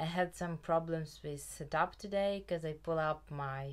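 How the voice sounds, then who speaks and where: Talking at a very slow pace, a woman uses a fairly low pitch with ordinary pitch variation. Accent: Ukrainian. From Ukraine. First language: Ukrainian. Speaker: knitting podcaster. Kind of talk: casual chat.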